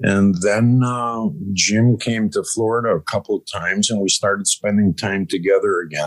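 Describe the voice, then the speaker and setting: A man with a normal speaking voice and an American accent, fairly low in pitch, at a moderate pace with ordinary pitch variation, in a dry, close sound with no echo. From Chicago, US Midwest. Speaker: cannabis farm manager, former restaurateur. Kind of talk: casual interview chat.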